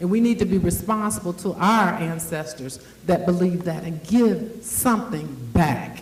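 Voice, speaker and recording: Amid noticeable background noise and audible room echo, a woman speaks fairly slowly with lively intonation. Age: 60s. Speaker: event host and agency founder. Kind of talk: speech to a live audience. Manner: animated.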